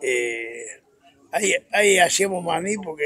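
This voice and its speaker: A man speaks with a high voice and ordinary pitch variation. The sound is dry, with no echo. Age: 80s+. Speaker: peanut farmer and agricultural contractor. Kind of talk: interview answer, casual anecdotes. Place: open country. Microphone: handheld.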